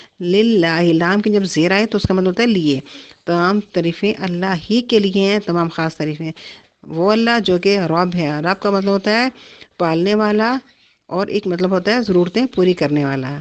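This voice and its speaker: A woman with medium pitch and ordinary pitch variation speaks in an ordinary speaking voice. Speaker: Quran teacher. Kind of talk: Quran tafseer lecture. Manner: explanatory, teaching.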